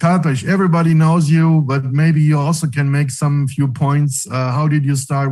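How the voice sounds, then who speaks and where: The voice has a dark, mellow tone, somewhat breathy, with a non-native accent. It moves at a moderate pace with fairly even intonation. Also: man. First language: not English. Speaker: webinar host. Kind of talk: live online event hosting. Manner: halting.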